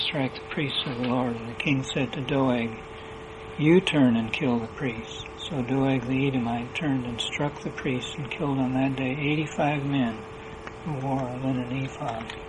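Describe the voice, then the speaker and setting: A man with a medium pitch and fairly even intonation is heard against noticeable background noise. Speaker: lay minister; preacher. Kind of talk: sermon.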